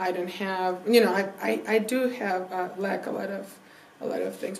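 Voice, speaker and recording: A woman with a Mexican accent speaks at a moderate pace and medium pitch with ordinary pitch variation. Noticeable background noise and audible room echo fill the recording. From Mexico. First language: Spanish. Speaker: Spanish teacher. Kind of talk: casual chat.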